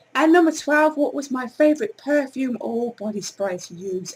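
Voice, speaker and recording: A woman speaks with an English accent and very wide pitch swings. There is noticeable background noise. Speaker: beauty vlogger. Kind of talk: casual product review vlog. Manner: loud.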